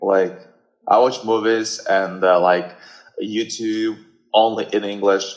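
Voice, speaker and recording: Speaking at a very slow pace, a man leaves long, frequent pauses. His pitch is fairly low. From Russia. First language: Russian. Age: 20s. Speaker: guest. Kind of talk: casual chat. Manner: halting.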